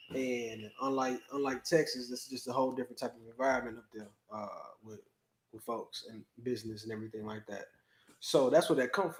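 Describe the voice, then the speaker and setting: Speaking with an American accent, a man uses a medium pitch and fairly even intonation. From US Midwest, Chicago. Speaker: business owner. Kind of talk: casual chat.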